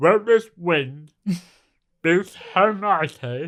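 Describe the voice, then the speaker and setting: A put-on character voice at a middle pitch, mumbling. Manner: mumbling with tongue in mouth.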